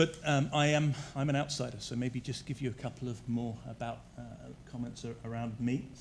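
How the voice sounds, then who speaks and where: In a room with audible echo, a man with a southern English accent speaks fairly quickly at medium pitch, with fairly even intonation and vocal fry. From southern England. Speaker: energy utility executive. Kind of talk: presentation to council. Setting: council chambers.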